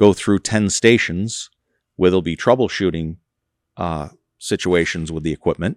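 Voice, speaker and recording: A man with a very deep, low pitch speaks at a moderate pace, with ordinary pitch variation and long, frequent pauses. The recording is very clean with a silent background, and the sound is dry and close with no echo. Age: 60s. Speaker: trucking company executive. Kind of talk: interview. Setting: on location at his company.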